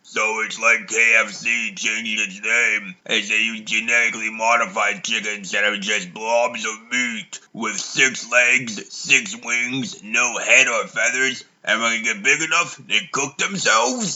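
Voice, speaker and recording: A man puts on a character voice at a medium pitch. He talks at a fairly slow pace with hardly any pauses. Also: ordinary pitch variation. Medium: fan dub. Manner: joking, crude.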